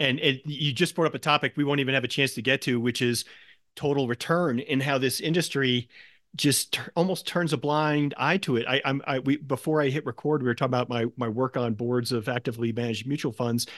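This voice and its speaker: Against a quiet background, a normal speaking voice moves at a fairly quick pace with ordinary pitch variation. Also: man, medium pitch for a man. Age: 50s. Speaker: podcast host, equity investor. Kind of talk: interview.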